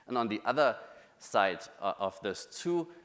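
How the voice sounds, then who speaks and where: This is a man speaking with a German accent. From Germany. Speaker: UX researcher. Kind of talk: conference talk.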